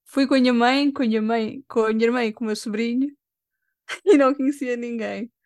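A woman with a Lisbon accent talks at a fairly quick pace and a high pitch. Her intonation is fairly even, and the recording is very clean with a silent background. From Lisbon, Portugal. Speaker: cosplayer and makeup artist. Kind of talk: casual interview.

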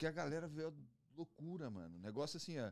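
A man with a fairly high pitch. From Curitiba, southern Brazil. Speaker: pagode band musician. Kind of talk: casual chat.

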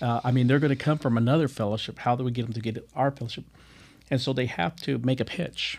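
Speaking at a very fast pace, a man holds a medium pitch and fairly even intonation on a very clean recording with a silent background. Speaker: podcast host. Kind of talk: casual chat. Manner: halting.

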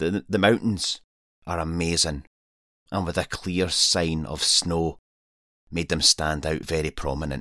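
A man with a Scottish accent, a very deep, low pitch and a bright, sharp tone, at a fairly slow pace with long, frequent pauses and fairly even intonation, in a very clean recording with a silent background. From Scotland. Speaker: wild camper and podcaster. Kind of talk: scripted narration.

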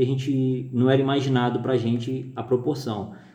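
Moderate in pace, a man speaks at a medium pitch with a dark, mellow tone. His intonation is monotone and flat, and room echo is audible. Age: 30s. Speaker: business executive. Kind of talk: interview. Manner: halting, many fillers.

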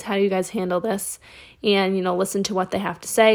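The recording is very clean, with a silent background. A woman with a medium-pitched voice speaks in an animated tone. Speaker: content creator. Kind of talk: casual solo podcast chat. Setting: home, recording at night in her room. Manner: fast talker; animated, chatty.

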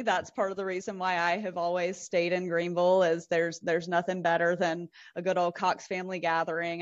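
A woman with a South Carolina accent, medium in pitch, at a fairly quick pace. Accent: Southern US (South Carolina). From US South. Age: 30s. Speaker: telecom industry professional. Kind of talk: casual interview.

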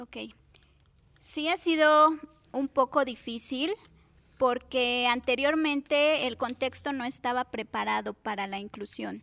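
A high-pitched woman's bright, sharp voice, very slow, with long, frequent pauses, ordinary pitch variation and a dry, close sound with no echo. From Cuautla, Morelos, Mexico. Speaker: special education teacher. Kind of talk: interview. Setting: studio.

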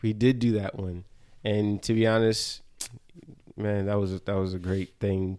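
A dark, mellow voice with an American accent speaks at a moderate pace in a flat monotone, with long, frequent pauses. The recording is very clean, with a silent background. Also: man, fairly low pitch for a man. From New Jersey. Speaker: dancer and choreographer. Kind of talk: casual chat.

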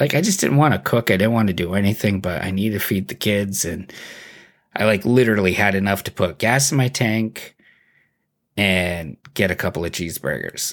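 In a plain, everyday voice, a man speaks at a moderate pace and fairly low pitch with lively intonation. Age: 30s. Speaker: podcast host. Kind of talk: casual chat. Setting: video call.

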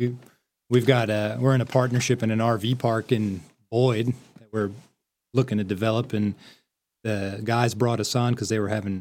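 On a very clean recording with a silent background, a man with an East Coast American accent speaks at a moderate pace in a medium pitch with monotone, flat intonation. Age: 30s. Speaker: real estate investor. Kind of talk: casual chat.

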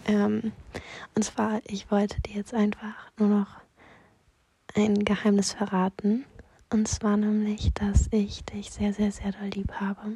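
Monotone, flat intonation at a very slow pace, with long, frequent pauses. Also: woman, medium pitch for a woman. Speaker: personal voice message sender. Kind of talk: personal voice message. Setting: lying on bed in her room. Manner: halting.

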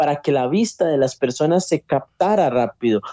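A man speaks with a fairly high pitch and a dark, mellow tone. The sound is dry and close, with no echo. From Costa Rica. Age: 30s. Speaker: motivational speaker. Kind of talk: testimony.

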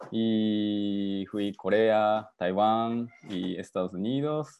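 A man with a Japanese accent and fairly low pitch, speaking at a very slow pace. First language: Japanese (speaking Spanish). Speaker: father. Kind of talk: video call interview. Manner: halting.

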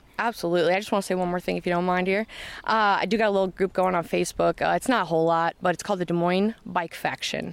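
Speaking in a Midwestern American accent on a very clean recording with a silent background, a woman talks very fast at medium pitch with fairly even intonation. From Iowa, Knoxville. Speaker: trail club organizer. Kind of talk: interview.

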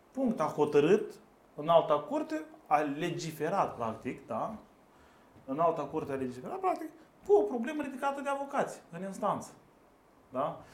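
A man's high-pitched voice with very wide pitch swings, a moderate pace, long and frequent pauses, and audible room echo. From Moldova. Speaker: lawyer, law firm co-founder. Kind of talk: casual chat.

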